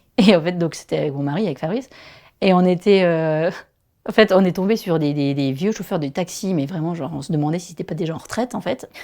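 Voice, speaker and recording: A woman's fairly low, dark, mellow voice with a strong Vosges accent and ordinary pitch variation, very fast against a quiet background. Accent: strong regional Vosges. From Vosges, eastern France. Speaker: primary school teacher. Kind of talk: casual podcast interview.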